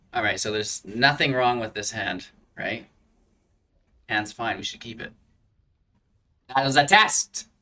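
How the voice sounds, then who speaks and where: Mumbling at a fairly slow pace, a man with a medium-pitched, bright, sharp voice leaves long, frequent pauses, his loudness swinging widely while his pitch varies in an ordinary way. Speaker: gaming YouTuber. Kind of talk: gameplay commentary. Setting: home recording with green screen.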